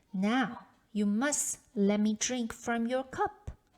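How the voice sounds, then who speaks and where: A woman in a put-on character voice, at a very slow pace. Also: fairly high pitch for a woman. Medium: read story. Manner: polite, insistent.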